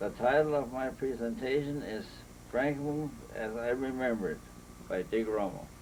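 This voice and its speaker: A man with an American accent, medium in pitch with ordinary pitch variation, at a moderate pace amid audible room echo. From Michigan, US Midwest. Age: 80s+. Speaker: local historian. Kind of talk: slide presentation. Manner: halting, with fillers.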